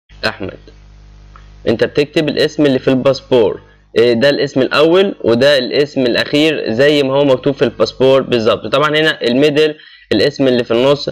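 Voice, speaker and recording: With music in the background, the speaker uses an Egyptian accent, fairly even intonation and very even loudness. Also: man, fairly high pitch for a man, moderate pace. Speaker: YouTube channel host explaining job applications. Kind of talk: screen-recorded tutorial. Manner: casual, with frequent hesitations.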